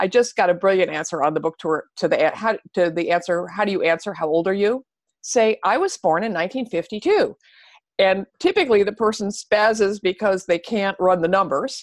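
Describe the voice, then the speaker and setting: Over a quiet background, a woman with an American accent talks in an unremarkable speaking voice of medium pitch, with ordinary pitch variation and a dry, close sound with no echo. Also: fairly quick pace. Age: 60s. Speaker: author and anti-ageism activist. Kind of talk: interview. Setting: podcast interview.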